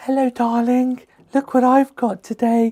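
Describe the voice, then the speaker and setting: Squeaky and fairly high-pitched, this put-on character voice with a London accent moves at a moderate pace in a monotone, flat delivery. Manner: camp.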